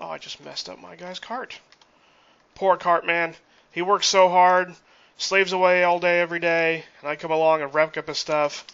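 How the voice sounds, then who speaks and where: A man talks at a moderate pace with a high pitch. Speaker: gaming YouTuber. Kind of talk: tutorial. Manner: talkative; animated.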